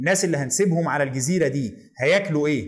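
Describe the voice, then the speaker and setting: Lively intonation and a fairly quick pace mark this voice with an Egyptian accent. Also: man. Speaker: history educator. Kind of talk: educational lecture video.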